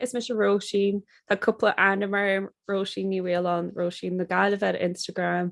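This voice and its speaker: A woman with a Connemara accent speaks at a moderate pace and medium pitch, in a dry, close sound with no echo over a quiet background. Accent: Connemara Irish. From Ireland, Connemara, Galway. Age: 30s. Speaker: podcaster and Irish-language content creator. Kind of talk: casual interview chat in Irish.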